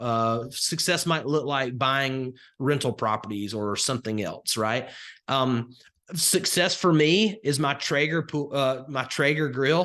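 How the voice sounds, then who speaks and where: With a Southern Alabama accent, the speaker has a bright, sharp tone and ordinary pitch variation, talking at a fairly slow pace against a quiet background. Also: man, fairly high pitch for a man. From US South, rural northwest Alabama. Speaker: crypto investing coach. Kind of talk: live webinar presentation. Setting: live online call with chat. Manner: conversational with frequent fillers.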